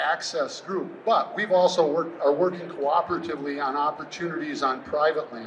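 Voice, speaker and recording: A man's fairly high voice with an American accent, fairly quick, with noticeable background noise. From US Midwest, southwest Wisconsin. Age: 60s. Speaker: landowner and conservation speaker. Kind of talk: presentation to an audience. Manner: casual, conversational.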